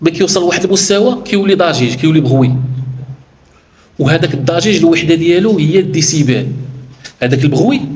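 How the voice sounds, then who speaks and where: A Moroccan accent at a moderate pace with lively intonation, amid noticeable background noise and audible room echo. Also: man. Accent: Moroccan Darija with French loanwords. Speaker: workplace safety trainer. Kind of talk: educational explanation. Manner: halting, with false starts.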